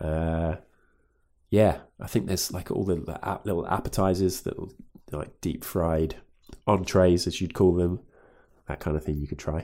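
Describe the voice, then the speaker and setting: Using a very deep, low pitch and fairly even intonation, a man speaks at a moderate pace with long, frequent pauses. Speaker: podcast host. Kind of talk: casual chat.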